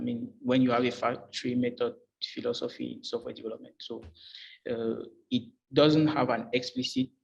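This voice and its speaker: A man in a French accent at a moderate pace. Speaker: job candidate. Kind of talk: job interview. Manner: halting, many fillers.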